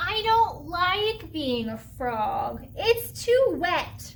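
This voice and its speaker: A put-on character voice speaks at a very slow pace. Clear background noise can be heard. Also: woman, extremely high pitch for a woman. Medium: read story. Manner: whiny, wishful.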